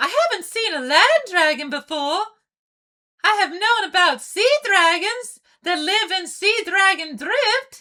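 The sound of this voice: Using a cartoonish character voice, a woman speaks at an extremely high pitch with lively intonation, a bright, sharp tone and a fairly slow pace.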